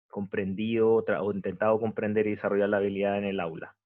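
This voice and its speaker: The man's fairly low voice stays flat and monotone throughout. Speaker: university lecturer. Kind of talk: online lecture. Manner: slower than usual; halting, many fillers.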